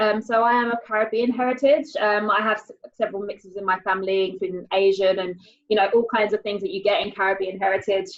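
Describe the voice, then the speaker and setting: With a British accent, a woman speaks at a fairly quick pace and with ordinary pitch variation. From England. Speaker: panel host. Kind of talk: panel discussion.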